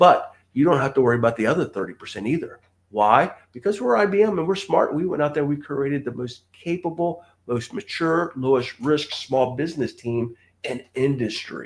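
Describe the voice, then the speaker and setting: Using an ordinary speaking voice, a man with a fairly high pitch talks with lively intonation at a moderate pace. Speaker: government contracting trainer. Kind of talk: live stream training talk. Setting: live stream.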